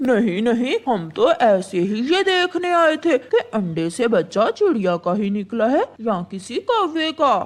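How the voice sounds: A cartoonish character voice, fairly high in pitch, swings very widely up and down. It moves at a moderate pace.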